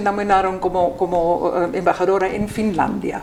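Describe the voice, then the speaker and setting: A woman speaks fairly slowly while audible room echo and noticeable background noise surround her voice. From Austria. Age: 60s. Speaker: ambassador. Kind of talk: interview. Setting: embassy. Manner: halting, many repetitions and fillers.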